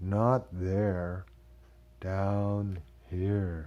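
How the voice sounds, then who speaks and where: A man uses a put-on character voice, very deep and low in pitch. His voice is creaky, and his intonation stays fairly even. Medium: read story. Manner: slow, distant-sounding.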